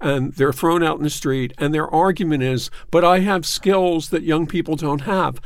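With an American accent, a man speaks at a high pitch and a moderate pace, his intonation lively. The recording is very clean with a silent background. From Philadelphia. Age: 60s. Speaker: newspaper columnist. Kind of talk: casual chat. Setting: studio.

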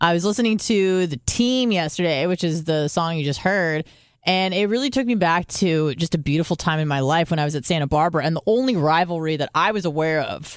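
Her pace is fairly quick. The woman speaks with hardly any pauses. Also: fairly low pitch for a woman, lively intonation. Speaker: podcast co-host. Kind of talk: casual chat. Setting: studio. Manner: loud.

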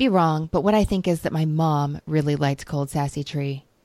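A woman's fairly low, dark and mellow voice with an American accent, at a moderate pace. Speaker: podcast host. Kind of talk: casual chat.

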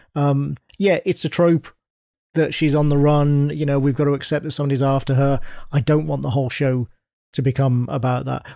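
A man with a British accent talks at a fairly quick pace, his fairly high voice dark and mellow in tone, with fairly even intonation. The recording is very clean, with a silent background. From United Kingdom. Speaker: podcast panelist. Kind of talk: casual chat.

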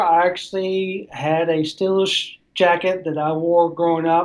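Set against a silent background on a very clean recording, the speaker talks in a Southern accent. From Tennessee, near Nashville. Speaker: sports writer. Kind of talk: casual interview.

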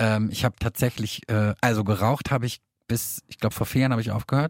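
On a very clean, dry, close recording with a silent background and no echo, a man speaks at medium pitch and a fairly quick pace. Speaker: true crime podcast co-host. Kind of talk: casual chat.

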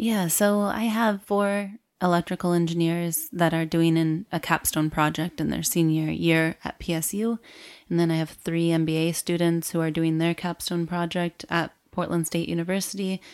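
Heard in a very clean recording with a silent background, a woman with a fairly low pitch and an American accent talks at a moderate pace, her intonation fairly even, in an unremarkable speaking voice. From rural Michigan, US Midwest. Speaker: tech company founder and engineer. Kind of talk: interview.

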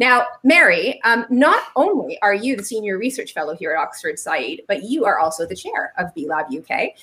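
A woman talks at a fairly high pitch with very wide swings in it. She hardly pauses at all. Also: moderate pace. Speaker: business activist, co-host. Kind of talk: panel moderation.

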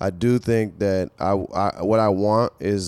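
Very deep and low, a man's voice with an American accent keeps fairly even intonation. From US, Nigerian American family. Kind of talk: casual chat.

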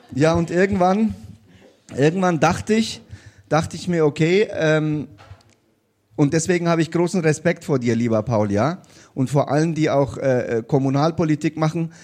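This man's speech has lively intonation, broken by long, frequent pauses. The background is quiet. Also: fairly high pitch for a man, moderate pace. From came to Bavaria (Bayreuth) at age eight. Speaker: state politician. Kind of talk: live panel discussion. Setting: stage with live audience.

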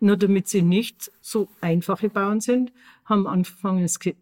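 A woman's unremarkable speaking voice at a medium pitch, fairly slow in pace, with a dry, close sound and no echo. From Austria, Tyrol. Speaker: podcast co-host. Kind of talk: casual chat.

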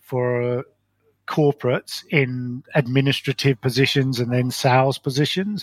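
This man has medium pitch and monotone, flat intonation. The sound is dry and close with no echo. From London, England. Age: 50s. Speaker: failed business owner. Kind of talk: interview storytelling.

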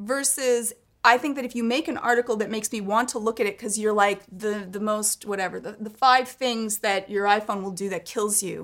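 Hardly pausing at all, a woman with an unremarkable speaking voice talks at a fairly quick pace and a fairly high pitch. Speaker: podcast co-host and tech commentator. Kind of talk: casual chat.

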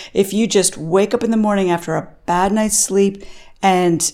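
Moderate pace and ordinary pitch variation in an ordinary speaking voice. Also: woman. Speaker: senior editor, energy journalist.

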